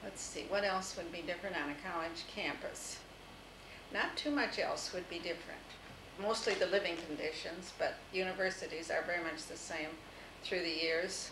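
Over noticeable background noise, a woman with an American accent speaks at a moderate pace. Her medium pitch shows ordinary variation. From US Midwest, Toledo, Ohio; Ohio. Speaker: interviewee recalling her life; interviewee. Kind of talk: oral history interview. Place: home room. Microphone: old recording.

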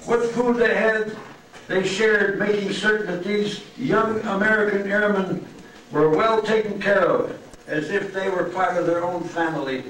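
Light background noise and audible room echo are present. A man talks at a high pitch. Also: fairly even intonation, moderate pace. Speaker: presenter. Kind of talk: prepared speech. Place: hall. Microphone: pa.

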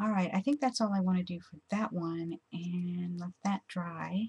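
A slightly husky edge and slightly mellow tone come through at a moderate pace, with fairly even intonation. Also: woman, fairly low pitch for a woman.

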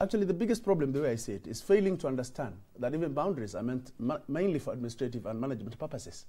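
A man speaks at a very fast pace, somewhat breathy. His pitch swings very widely. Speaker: politician guest. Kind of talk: interview answer. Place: studio.

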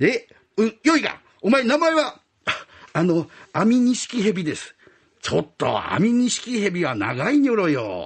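A man's high voice at a moderate pace, animated yet timid, with very wide pitch swings. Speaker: rakugo storyteller. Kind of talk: rakugo storytelling, performing python, snake boss and other characters. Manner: animated, switching between gruff Edo-style tough-guy and timid voices.

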